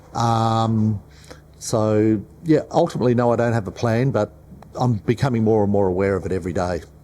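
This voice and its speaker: At a moderate pace, the speaker's dark, mellow tone carries an Australian accent with ordinary pitch variation. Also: man. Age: 60s. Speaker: business owner. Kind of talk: panel discussion.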